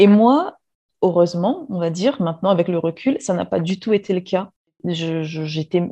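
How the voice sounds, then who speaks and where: At a moderate pace, the voice has a dark, mellow tone. Its pitch varies in an ordinary way. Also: woman. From Réunion. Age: 30s. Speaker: former chemist. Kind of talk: interview testimony.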